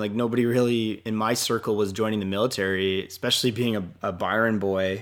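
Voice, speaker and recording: With a Canadian accent, a man speaks in an ordinary speaking voice, fairly low in pitch, at a fairly quick pace with fairly even intonation, on a very clean recording with a silent background. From Canada. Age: 30s. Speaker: army reservist and real estate agent. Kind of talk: interview.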